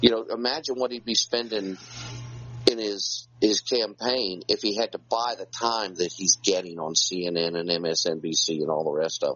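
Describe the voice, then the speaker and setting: A man speaks with a Southern US accent. His voice sits fairly low in pitch. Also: ordinary pitch variation, moderate pace. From North Carolina. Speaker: co-host.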